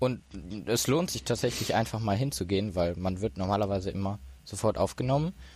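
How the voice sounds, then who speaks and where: In a very clean recording with a silent background, a man with an ordinary speaking voice talks at a fairly quick pace and a fairly low pitch with lively intonation. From Ruhr area, Germany (Duisburg). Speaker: disaster relief volunteer. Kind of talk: casual chat. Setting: hacker event.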